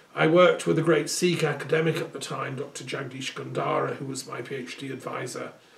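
Hardly pausing, a man speaks at a fairly quick pace with big swings in loudness, ordinary pitch variation and audible room echo. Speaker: speaker. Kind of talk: monologue address, reminiscence. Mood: earnest, reflective. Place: home room. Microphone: camera far.

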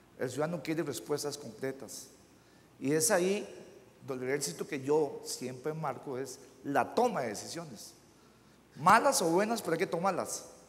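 This man speaks at a moderate pace in a Costa Rican accent, his fairly high voice carrying lively intonation broken by long, frequent pauses. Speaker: mayor. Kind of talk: panel discussion. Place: hall. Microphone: lapel.

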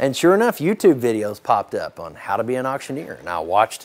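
A man's voice with very wide swings in pitch. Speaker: charity auctioneer. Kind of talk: casual storytelling to camera, interview answer. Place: farm machine. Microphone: lapel.

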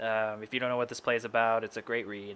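Over light background noise, a man speaks at a fairly low pitch with monotone, flat intonation. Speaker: voice channel host. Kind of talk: casual vlog chat. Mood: friendly, a bit shy. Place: home room. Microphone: studio mic.

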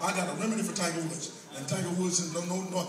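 Amid noticeable background noise and audible room echo, a man speaks at a very fast pace. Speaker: stand-up comedian. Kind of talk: stand-up comedy routine. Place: hall.

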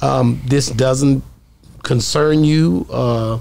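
Speaking at a very slow pace, a man with a medium-pitched voice uses ordinary pitch variation, a slightly mellow tone and vocal fry.

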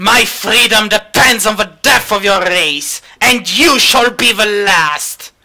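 A put-on character voice, growling at a fairly high pitch, with a fairly slow pace and hardly any pauses. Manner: snarling, hostile.

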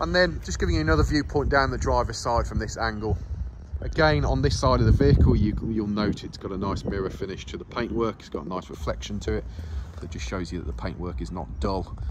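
A man speaks very fast in a very deep, low pitch with very wide pitch swings. Noticeable background noise runs underneath. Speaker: van salesperson. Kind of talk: sales walkaround commentary. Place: street. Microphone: phone near.

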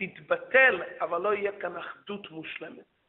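The speaker is a man with a high pitch. He talks at a fairly slow pace over light background noise. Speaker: religious teacher. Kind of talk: lecture. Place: church. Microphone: handheld.

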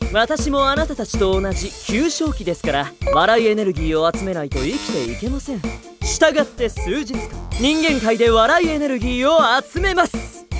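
Over clear background music, a man does a cartoonish character voice at an extremely high pitch and a moderate pace. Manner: formal, stern.

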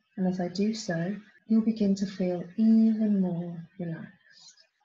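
Somewhat breathy and dark, mellow in tone, the voice sounds soothing as it moves at a fairly slow pace with ordinary pitch variation. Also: woman. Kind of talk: guided hypnosis induction. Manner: slow, soothing, hushed and hypnotic, with measured pauses.

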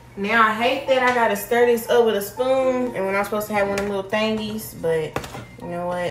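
Over background music and audible room echo, the speech runs at a very fast pace with ordinary pitch variation. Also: woman. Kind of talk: casual vlog chat. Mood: light, self-mocking. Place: kitchen. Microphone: phone near.

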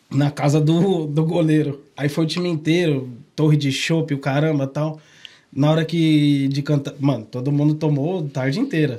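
Over a quiet background, a man with a fairly high pitch and a dark, mellow tone talks at a moderate pace in a monotone, flat intonation. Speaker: podcast host. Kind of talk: casual chat. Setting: studio. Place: studio. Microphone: studio mic.

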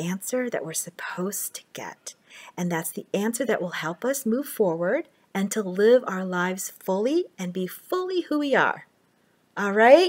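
A woman's lively intonation at a fairly slow pace, with big swings in loudness. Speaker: speaker or teacher. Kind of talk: inspirational talk. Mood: warm, encouraging. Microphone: webcam.

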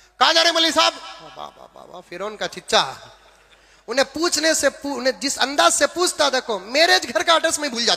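A man speaks in a raised, projected voice. His pitch swings very widely. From Bangalore, India. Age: old. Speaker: Islamic preacher. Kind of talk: sermon.

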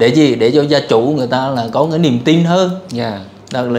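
Moderate pace from a man with a fairly high pitch and ordinary variation in it. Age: 50s. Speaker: engineer seeking a partner; interviewee. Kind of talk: interview. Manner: halting. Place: home room. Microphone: lapel.

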